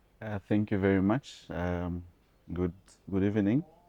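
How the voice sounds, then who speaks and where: Speaking at a moderate pace, a man uses a dark, mellow tone and fairly even intonation. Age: 30s. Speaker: entrepreneur. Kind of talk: interview. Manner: halting, many fillers.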